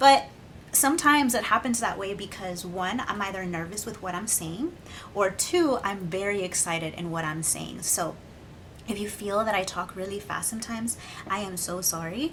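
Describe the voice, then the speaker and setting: Heard with audible room echo, a woman speaks at medium pitch with lively intonation. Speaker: beauty vlogger. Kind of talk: makeup tutorial with casual chat. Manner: fast.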